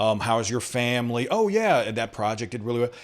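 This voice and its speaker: His voice sits at a medium pitch. A man is talking in a Southern US accent. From US South/Southeast. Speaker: tech show host. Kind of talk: interview conversation.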